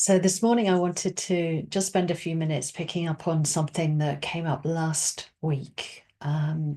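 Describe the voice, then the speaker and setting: A woman speaks at a moderate pace with hardly any pauses, her dark, mellow tone set at a fairly low pitch. Her intonation stays fairly even against a quiet background. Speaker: meditation teacher. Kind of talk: dharma talk. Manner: halting.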